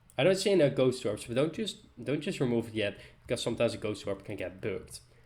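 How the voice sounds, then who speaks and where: A man speaks with a Dutch accent at a fairly quick pace. His intonation is lively. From Netherlands. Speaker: gaming YouTuber. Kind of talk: tutorial.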